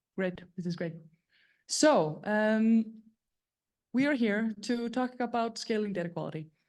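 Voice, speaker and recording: A woman talks at a fairly slow pace with long, frequent pauses. Her pitch varies in an ordinary way against a quiet background. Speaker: startup CEO presenting at meetup. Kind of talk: event presentation. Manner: loud.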